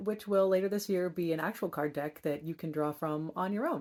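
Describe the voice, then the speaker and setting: On a very clean recording with a silent background, a woman speaks in an ordinary speaking voice with ordinary pitch variation. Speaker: author and wisdom card reader. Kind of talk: guided meditation and card reading; inspirational talk. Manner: slow, calm and soothing.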